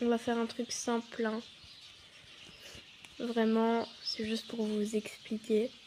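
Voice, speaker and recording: Dark and mellow in tone, a woman speaks at a fairly high pitch with monotone, flat intonation. She goes at a very slow pace with long, frequent pauses. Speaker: youtuber. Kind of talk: tutorial. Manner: halting.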